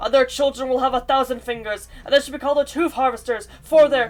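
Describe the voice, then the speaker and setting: Very fast and high-pitched, a guttural put-on character voice rattles along. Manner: menacing.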